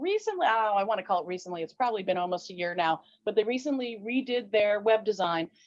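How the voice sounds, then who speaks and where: A woman talks in an ordinary speaking voice. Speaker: fencing referee and instructor. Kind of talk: interview.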